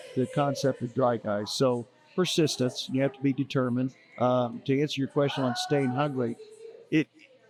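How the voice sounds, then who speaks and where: A man with an American accent speaks at a moderate pace and medium pitch, his intonation fairly even over noticeable background noise. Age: 60s. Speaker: school yearbook salesman. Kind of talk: casual interview. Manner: halting with repetitions.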